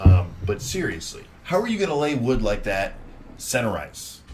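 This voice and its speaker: With an animated tone, a man speaks at a moderate pace amid audible room echo. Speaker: podcast co-host. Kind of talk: casual chat. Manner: loud.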